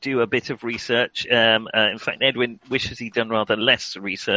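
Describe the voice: The passage is read aloud plainly.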